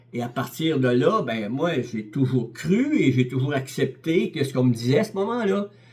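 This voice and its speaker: A man with a somewhat breathy voice talks at a fairly slow pace with hardly any pauses, using lively intonation and big swings in loudness. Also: medium pitch for a man. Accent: Quebec. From Quebec. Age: 70s. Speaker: lay preacher. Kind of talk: sermon. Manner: halting, many repetitions and hesitations.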